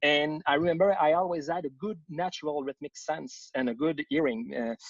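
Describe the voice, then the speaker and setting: A man with a Quebec accent and a fairly high pitch. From Quebec, Montreal area. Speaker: composer, conductor and music educator. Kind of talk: casual interview. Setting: Facebook Live video stream.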